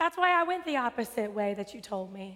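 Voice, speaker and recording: The voice is raised and projected. It carries an American accent. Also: woman. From West Texas. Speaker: preacher. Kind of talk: sermon. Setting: church sanctuary with congregation.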